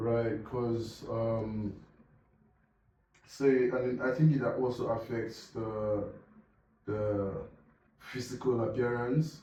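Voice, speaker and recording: The speech comes at a very slow pace, broken by long, frequent pauses, with fairly even intonation. Audible room echo surrounds the voice. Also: man, medium pitch for a man. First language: non-English language. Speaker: podcast co-host. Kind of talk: casual chat. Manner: halting.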